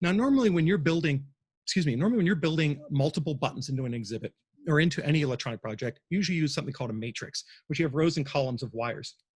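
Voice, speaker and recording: A man talks very fast at a fairly high pitch, somewhat breathy and with lively intonation, over a quiet background. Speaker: museum exhibit designer giving a talk. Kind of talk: presentation talk. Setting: livestream from a cafe.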